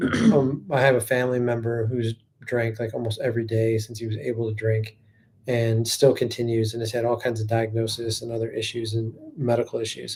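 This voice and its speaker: A man with an American accent talks at a fairly quick pace and a medium pitch. His voice is somewhat breathy and his intonation monotone and flat. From northeast Ohio. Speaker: podcast host. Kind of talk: casual chat.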